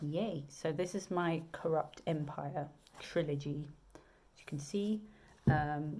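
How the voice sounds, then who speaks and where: A woman with a southern English accent and a very deep, low pitch. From southern England. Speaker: romance author. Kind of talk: casual video chat. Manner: hesitant, many fillers.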